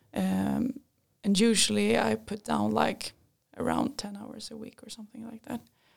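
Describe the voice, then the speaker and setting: A woman with a Swedish accent at a moderate pace, with big swings in loudness. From Sweden, Linköping. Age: 20s. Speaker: engineering student. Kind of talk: casual interview. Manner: hesitant, many fillers.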